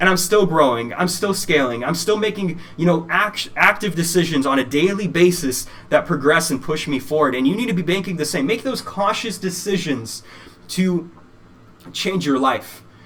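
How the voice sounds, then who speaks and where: Against noticeable background noise, a man with an American accent speaks at a high pitch with ordinary pitch variation. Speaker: motivational speaker. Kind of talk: keynote speech. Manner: fast; animated.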